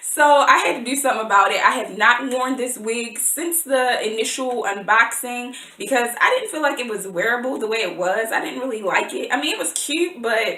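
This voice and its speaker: A woman talks at a fairly quick pace with hardly any pauses, her high pitch showing ordinary variation. Noticeable background noise is present. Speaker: beauty vlogger. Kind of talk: casual vlog review.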